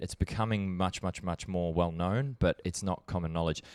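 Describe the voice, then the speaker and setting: Speaking with an Australian accent, a man has a very deep, low pitch. His pitch variation is ordinary. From Australia, Brisbane, Queensland. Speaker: documentary filmmaker. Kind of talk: podcast interview. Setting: on a couch. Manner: relaxed, hesitant with fillers.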